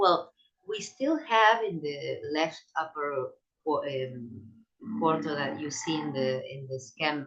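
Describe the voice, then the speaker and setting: A woman with a very deep, low pitch speaks at a very slow pace. Her intonation is lively. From Latin America. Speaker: sociologist of science. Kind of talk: academic lecture. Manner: halting, many repetitions.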